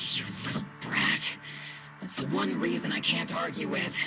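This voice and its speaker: A man's put-on character voice at a moderate pace over loud background noise. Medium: game stream. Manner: blunt, firm.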